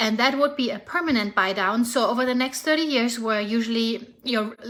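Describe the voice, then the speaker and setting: Speaking at a fairly quick pace, a woman with a German accent has a fairly high pitch, and there is noticeable background noise. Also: ordinary pitch variation. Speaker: real estate agent. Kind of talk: casual vlog update. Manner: animated.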